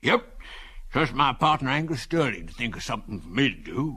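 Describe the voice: A man does a wheezy, put-on character voice at a fairly high pitch with lively intonation. He speaks at a fairly quick pace against a quiet background.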